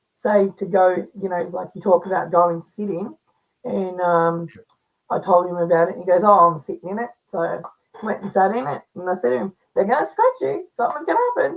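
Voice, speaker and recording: Talking at a fairly quick pace, a woman with an Australian accent swings widely in loudness. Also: medium pitch for a woman, ordinary pitch variation. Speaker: paranormal investigator and medium. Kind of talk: casual chat.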